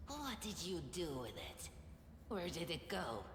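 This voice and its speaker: A put-on character voice at middle pitch comes through at a fairly slow pace, with slight echo and loud background noise. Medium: actual play. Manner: resentful, aggressive.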